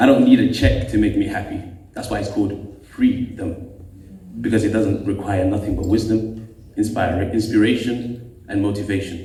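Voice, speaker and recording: Noticeable background noise surrounds this recording. A man with a fairly low voice speaks at a moderate pace. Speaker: poet, spoken-word artist. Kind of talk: spoken-word poetry performance.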